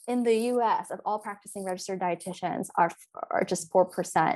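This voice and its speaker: On a very clean recording with a silent background, a woman at medium pitch uses an ordinary speaking voice, talking at a moderate pace with ordinary pitch variation. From US, Philadelphia and Virginia. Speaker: dietitian. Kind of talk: interview, personal story.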